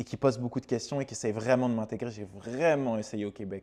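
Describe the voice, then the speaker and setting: At a very fast pace, a man talks in a dark, mellow tone. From France. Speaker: content creator. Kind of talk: casual vlog monologue. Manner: hesitant, many fillers.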